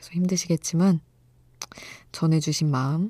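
A woman speaks at a fairly slow pace in a very deep, low pitch, her dark, mellow tone somewhat breathy, her intonation fairly even, and the sound dry and close with no echo. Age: 30s. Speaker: radio DJ. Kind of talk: late-night radio show. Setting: studio.

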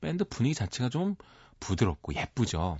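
A man speaks at a fairly quick pace. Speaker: music critic. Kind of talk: radio music segment chat.

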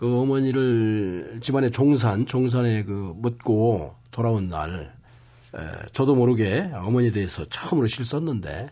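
A man with a medium pitch sounds strained. His intonation is lively. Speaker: poet. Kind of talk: interview. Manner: restrained.

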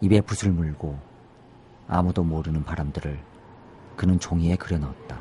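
Long, frequent pauses break up a man's somewhat breathy speech at a moderate pace, his very deep, low pitch carrying a dark, mellow tone. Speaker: poet. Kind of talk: poetry reading. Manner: halting, many fillers.

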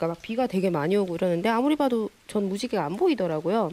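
Words rush out at a very fast clip. The pitch rises and falls in a lively way. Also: woman. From Busan, South Korea. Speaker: illustrator. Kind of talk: interview.

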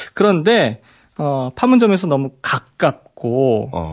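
A man's very slow speech with very wide pitch swings over a quiet background. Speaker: history columnist. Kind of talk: radio interview about history. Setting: radio studio. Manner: explanatory, knowledgeable.

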